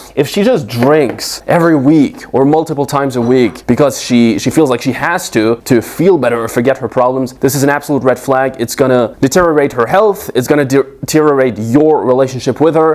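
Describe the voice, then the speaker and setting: A man with a non-native accent speaks at a medium pitch and a fairly quick pace. His pitch variation is ordinary, and he hardly pauses. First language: not English. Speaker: dating coach. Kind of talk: advice monologue.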